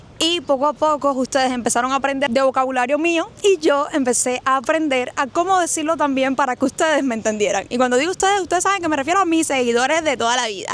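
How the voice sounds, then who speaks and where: With hardly any pauses, a woman talks at a very fast pace in a high-pitched, animated tone with ordinary pitch variation over noticeable background noise. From Cuba, Havana. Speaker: YouTuber. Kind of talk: casual vlog talk to viewers.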